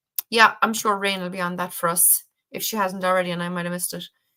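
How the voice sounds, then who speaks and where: A woman with an Irish accent speaks in a bright, sharp tone. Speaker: spiritual livestream host. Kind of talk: casual live-stream chat. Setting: online livestream.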